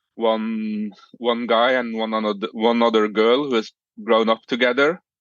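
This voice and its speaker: Monotone, flat intonation marks this man's speech in a Norwegian accent. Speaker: podcast guest, romance reader. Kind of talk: casual chat. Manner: halting, many fillers.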